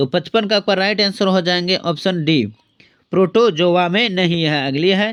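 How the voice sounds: This man's voice sits high in pitch, with a clear, smooth, fairly bright tone and ordinary pitch variation. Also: moderate pace.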